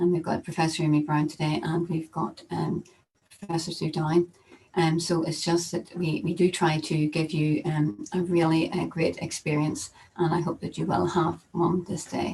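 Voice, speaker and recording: With a Northern Irish accent, a woman talks at a fairly low pitch in a somewhat breathy voice, her intonation flat and monotone. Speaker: professor. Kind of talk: conference welcome address. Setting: virtual conference, video call. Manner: fast; hesitant, many fillers.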